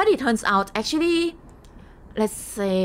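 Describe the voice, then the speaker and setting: A woman speaks in a Thai accent with ordinary pitch variation. Light background noise is present. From Thailand. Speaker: game streamer. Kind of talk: casual live stream chat. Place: home room.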